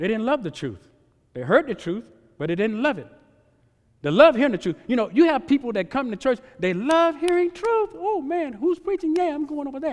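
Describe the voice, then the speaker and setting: A man speaks at an extremely high pitch, his voice swinging very widely. His pace is fairly quick. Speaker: preacher. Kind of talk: revival sermon, preaching. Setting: church revival meeting with congregation. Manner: earnest, exhortatory, pulpit-style appeals to 'brothers and sisters'; repetitive, emphatic, call-and-response ('Amen?').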